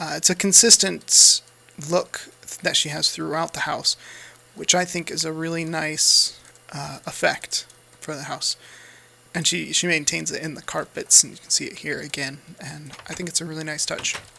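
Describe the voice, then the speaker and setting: Speaking at a moderate pace with an American accent, a man shows big swings in loudness. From United States. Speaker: gaming YouTuber. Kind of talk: gameplay commentary. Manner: casual, hesitant with fillers.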